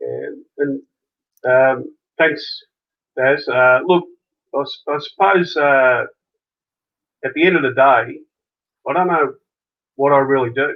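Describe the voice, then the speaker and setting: A man with an Australian accent speaks at a fairly slow pace. He leaves long, frequent pauses. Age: 60s. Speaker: junior sports coach. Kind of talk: interview. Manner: halting.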